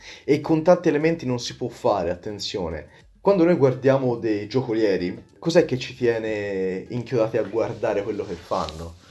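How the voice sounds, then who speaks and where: A man's medium-pitched voice, dark and mellow in tone, with very wide pitch swings at a moderate pace. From Tuscany, Prato. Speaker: magician. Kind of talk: podcast interview. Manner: halting, with repetitions.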